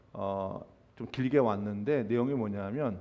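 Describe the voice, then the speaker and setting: Audible room echo surrounds a man's voice. He talks at a very slow pace with ordinary pitch variation. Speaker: pastor. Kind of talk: sermon. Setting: church. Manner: halting, many fillers.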